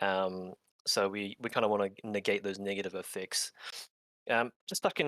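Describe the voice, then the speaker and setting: A man with a slight New Zealand accent and a fairly low pitch, talking at a fairly quick pace in a very clean recording with a silent background. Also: dry, close sound with no echo. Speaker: clinical exercise physiologist. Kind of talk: interview and tutorial.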